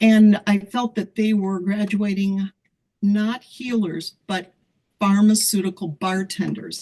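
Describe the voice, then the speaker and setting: A woman speaks very slowly with an American accent, her intonation monotone and flat. Her tone is dark and mellow, and somewhat breathy. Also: medium pitch for a woman. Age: 70s. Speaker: holistic weight loss practitioner. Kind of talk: panel discussion on video call.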